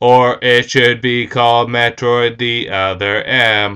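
A man's put-on character voice, medium in pitch, with monotone, flat intonation and a fairly slow pace. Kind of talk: casual vlog chat. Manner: flat, monotone.

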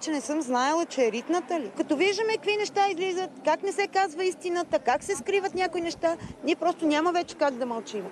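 Over light background noise, a woman with an extremely high pitch speaks at a fairly quick pace with hardly any pauses, in a dry sound with no echo. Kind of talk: interview answer. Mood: upset, indignant. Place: street.

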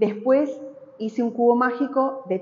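A high-pitched woman with a Rioplatense accent. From Argentina. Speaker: textile artist. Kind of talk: interview about her artwork in a gallery. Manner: halting, frequent fillers. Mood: warm, nostalgic. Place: hall. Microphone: lapel.

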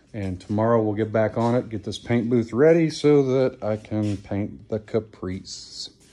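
A man talks at a fairly slow pace. His tone is dark and mellow. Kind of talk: casual vlog chat. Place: garage. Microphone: phone near.

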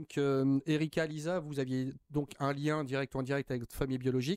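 A man at a fairly high pitch, fairly quick with hardly any pauses, dry with no echo over a quiet background. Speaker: TV talk show host. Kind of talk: TV interview. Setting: TV studio. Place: studio. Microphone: studio mic.

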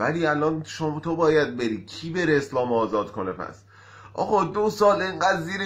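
Lively intonation carries this man's speech along at a moderate speed. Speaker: amateur comedian. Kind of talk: joke telling to camera. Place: home room. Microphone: phone near.

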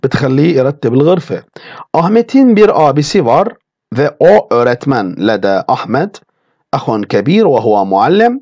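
Here a man speaks at a moderate pace with fairly high pitch and very wide pitch swings, yet his loudness stays very even. His tone is dark and mellow, and the sound is dry and close with no echo. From Turkey. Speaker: language teacher. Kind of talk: lecture.

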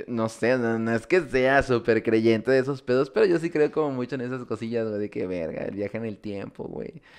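The speech moves at a moderate pace with hardly any pauses and ordinary pitch variation. The background is quiet. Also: man. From Mexico. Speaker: podcast host. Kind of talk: casual chat. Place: home room. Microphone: studio mic.

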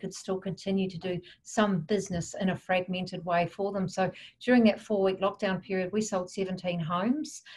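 A somewhat breathy woman's voice in monotone, flat intonation, over light background noise. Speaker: interviewee. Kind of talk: interview answer. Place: home room. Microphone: video call.

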